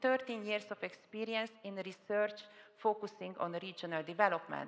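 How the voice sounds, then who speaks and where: A woman's medium-pitched voice with a Hungarian accent, at a moderate pace. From Hungary. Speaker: panel moderator, public official. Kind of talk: conference panel moderation. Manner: hesitant, with fillers.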